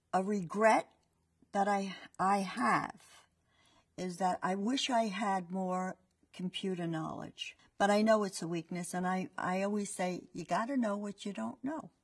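Over a quiet background, a woman talks at a fairly slow pace and medium pitch, somewhat breathy, with ordinary pitch variation. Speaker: franchise owner. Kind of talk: testimonial. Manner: conversational, fillers. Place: studio. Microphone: lapel.

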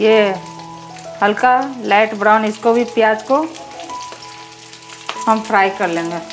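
Light noise sits in the background. The delivery is very slow. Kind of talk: cooking tutorial. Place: kitchen. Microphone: phone near.

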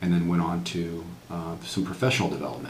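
A man with an American accent speaks at a very deep, low pitch and a fairly quick pace, his intonation fairly even. Room echo is audible, with light background noise. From New England, US (Worcester, Massachusetts); Massachusetts. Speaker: retired military officer, veteran. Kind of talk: oral history interview. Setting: university veterans center. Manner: halting, many fillers. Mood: calm, reflective. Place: office.

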